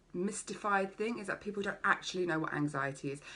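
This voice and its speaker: A woman speaks in an animated tone. Her pitch variation is ordinary. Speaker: life coach. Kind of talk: live-streamed workshop. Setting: Facebook live video. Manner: fast.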